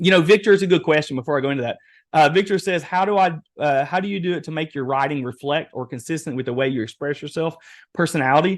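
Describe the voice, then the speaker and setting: Against a quiet background, a man with an Eastern Kentucky accent talks at a very fast pace, his fairly high voice showing ordinary pitch variation. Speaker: webinar presenter, real estate AI trainer. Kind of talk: webinar workshop demo. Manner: animated.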